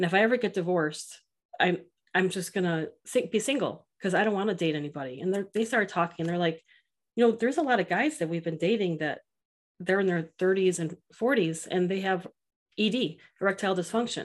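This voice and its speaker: At a fairly quick pace, a woman with an unremarkable speaking voice talks at medium pitch with ordinary pitch variation. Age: 40s. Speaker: dating app founder and cancer survivor. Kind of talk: casual chat.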